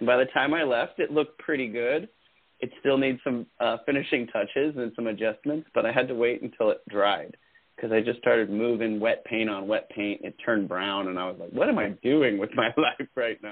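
A man's plain, everyday voice at a fairly quick pace with ordinary pitch variation. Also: medium pitch for a man. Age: 40s. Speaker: podcast co-host and artist. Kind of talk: casual chat.

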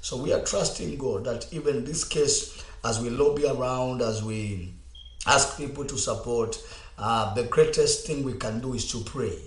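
There is audible room echo and noticeable background noise as a man speaks at a moderate pace. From Kenya. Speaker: pastor. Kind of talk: radio talk show with preaching. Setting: studio.

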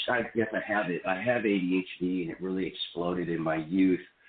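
An ordinary speaking voice belongs to a man with an American accent and fairly low pitch. He goes at a moderate pace. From Seattle area, US Pacific Northwest. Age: 30s. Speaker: film actor. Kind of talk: casual interview chat.

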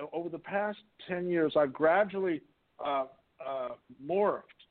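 Pausing long and often, a man with a high voice talks at a fairly slow pace with ordinary pitch variation. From US West Coast, Whittier, California. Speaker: artist and composer. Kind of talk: interview.

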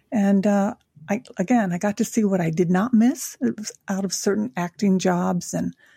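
In a dry, close sound with no echo, a woman with an American accent speaks at a medium pitch and moderate pace, her dark, mellow tone somewhat breathy and her pitch variation ordinary. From Tokyo, Japan (American father, Japanese mother). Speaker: angel intuitive and life coach. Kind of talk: interview conversation.

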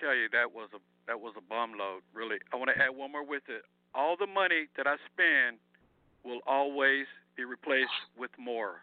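A man with a normal speaking voice, fairly high pitch, moderate pace, ordinary pitch variation and big swings in loudness. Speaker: caller. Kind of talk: phone call. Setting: phone call. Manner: warm, appreciative.

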